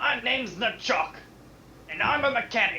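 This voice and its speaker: A put-on character voice. Background noise is clearly audible. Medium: actual play.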